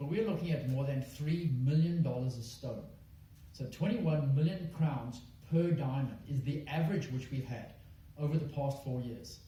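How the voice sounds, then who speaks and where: A man talks at a fairly high pitch with ordinary pitch variation. Room echo is audible, and there is noticeable background noise. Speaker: mining company executive. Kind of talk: investor presentation. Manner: fast; hesitant, many fillers.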